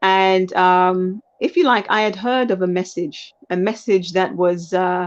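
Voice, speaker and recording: In a British accent, a woman at a medium pitch speaks at a fairly slow pace with fairly even intonation, very even loudness and hardly any pauses against a quiet background. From UK. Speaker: lawyer and life coach, aspiring politician. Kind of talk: interview. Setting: live stream. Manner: halting, with fillers.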